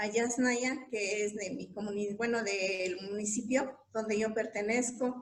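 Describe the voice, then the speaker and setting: A woman's fairly high voice over noticeable background noise, fairly slow and fairly even in intonation, with hardly any pauses. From Mixe highlands, Oaxaca, Mexico. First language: Mixe (Ayuk) (speaking Spanish). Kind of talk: panel discussion. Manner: halting.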